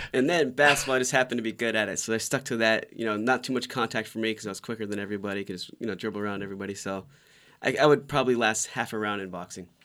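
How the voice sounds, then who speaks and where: This man talks very fast in an American accent, with a medium pitch and ordinary pitch variation. His tone is bright and sharp, and the recording is very clean with a silent background. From Orlando, Florida. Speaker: stock tips guest. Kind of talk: casual chat. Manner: short choppy sentences.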